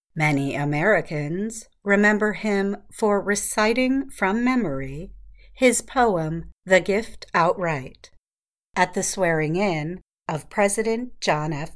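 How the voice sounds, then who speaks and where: On a very clean recording with a silent background, a woman speaks at a very slow pace with lively intonation. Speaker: radio announcer. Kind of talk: scripted news-style narration of an introduction. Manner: formal, clear, slow, even-paced.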